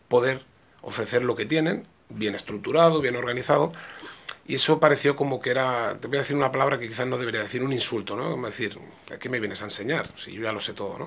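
His pitch variation is ordinary. The man talks at a very fast pace. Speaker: football coach. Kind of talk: interview answer. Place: office. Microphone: podium.

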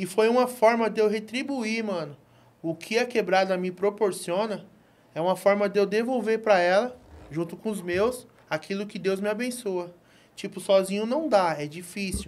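A man speaks at a high pitch with ordinary pitch variation. He keeps a moderate pace. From Brazil, São Paulo area (Franco da Rocha); São Paulo, Brazil. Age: 40s. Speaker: entrepreneur, barbershop owner; podcast guest. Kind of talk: casual interview. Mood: relaxed, reflective storytelling. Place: studio. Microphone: studio mic.

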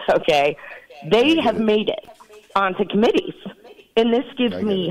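Over noticeable background noise, a woman speaks with lively intonation at a moderate pace. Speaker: political party official. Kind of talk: political talk radio interview. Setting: phone call. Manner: animated.

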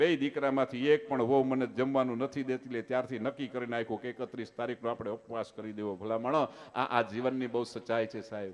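A normal speaking voice from a man at medium pitch. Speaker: folk storyteller and comedian. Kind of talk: dayro stand-up storytelling.

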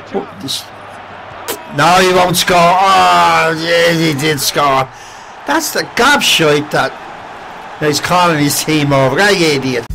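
A man with an Irish accent at a very slow pace, ordinary pitch variation and very even loudness, over noticeable background noise. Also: fairly high pitch for a man. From Ireland. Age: 70s. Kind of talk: casual commentary while playing a video game. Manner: excitable, frequently shouting.

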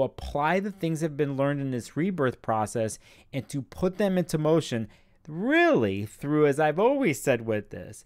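A man speaks with lively intonation. The background is quiet. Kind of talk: explanatory vlog talk. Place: home room. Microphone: studio mic.

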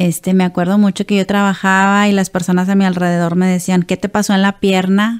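A woman speaks in a flat monotone at a very even loudness, with hardly any pauses. The background is quiet. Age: 40s. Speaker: Parkinson's patient and businesswoman. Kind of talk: testimony. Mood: personal, reflective testimony. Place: studio. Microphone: studio mic.

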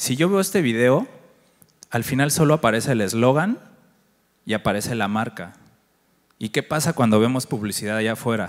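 Over a quiet background, a man at medium pitch talks at a moderate pace with lively intonation and long, frequent pauses. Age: 40s. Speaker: agency director and conference speaker; conference speaker. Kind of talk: conference talk. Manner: conversational, interacts with audience. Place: stage. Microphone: handheld.

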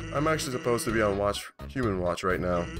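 A man puts on a character voice pitched fairly low. Loud music plays behind him. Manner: relaxed, drawling, joking.

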